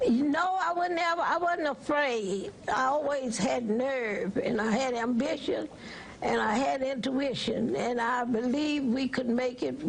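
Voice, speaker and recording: Against noticeable background noise, a woman speaks at a fairly slow pace in a high pitch, with ordinary pitch variation and very even loudness. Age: 80s+. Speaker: voting rights activist. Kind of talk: TV interview answer.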